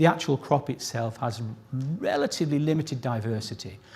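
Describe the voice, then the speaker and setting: Here a man talks at a fairly quick pace. His voice is somewhat breathy, with lively intonation. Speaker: plant scientist giving award citation. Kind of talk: ceremony speech. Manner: pitch rises when excited.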